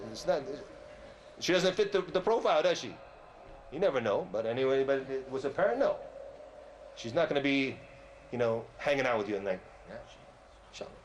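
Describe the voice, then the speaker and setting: Loud, fairly quick speech in an American accent, with very wide pitch swings, long and frequent pauses, and audible room echo. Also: man, fairly high pitch for a man. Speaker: Islamic preacher. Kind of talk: religious lecture. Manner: animated.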